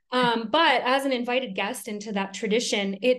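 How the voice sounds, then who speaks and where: The background is quiet as a woman speaks with an American accent. She goes at a fairly slow pace with ordinary pitch variation. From Minnesota, US Upper Midwest. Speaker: tattoo artist and magic shop owner. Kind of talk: casual interview chat. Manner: halting, many fillers.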